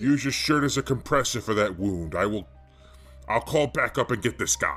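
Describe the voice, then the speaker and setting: A man does a put-on character voice at a medium pitch with lively intonation. He keeps a moderate pace while faint music plays in the background. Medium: audio drama.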